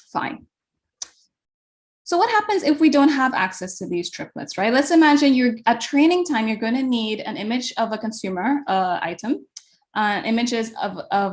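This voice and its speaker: At a moderate pace, a woman with a fairly high pitch swings her pitch very widely. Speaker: computer science researcher. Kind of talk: lecture. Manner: hesitant, many fillers.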